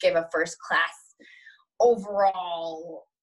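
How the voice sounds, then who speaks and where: The background is quiet as a woman speaks with an American accent. Her voice is somewhat breathy. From Metro-Detroit, Michigan. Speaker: dancer and showgirl. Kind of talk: interview answer. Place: home room. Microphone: webcam.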